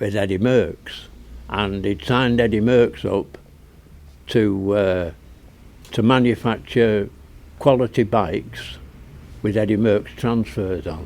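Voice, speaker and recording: Very slowly and with long, frequent pauses, a man speaks at a fairly low pitch in a Northern English accent. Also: ordinary pitch variation. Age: 80s+. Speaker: retired cycle shop owner. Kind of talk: interview answer.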